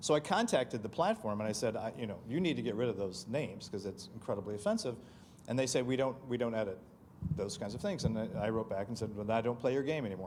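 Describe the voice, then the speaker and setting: A man talks at a very fast pace with a medium-pitched voice. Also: ordinary pitch variation. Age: 60s. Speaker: county commissioner hosting event. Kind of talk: panel discussion Q&A.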